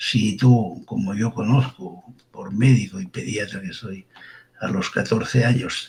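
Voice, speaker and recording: A man's medium-pitched voice with vocal fry at a fairly slow pace. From Catalonia, Girona province. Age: 70s. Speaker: forensic doctor. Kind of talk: interview. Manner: informal.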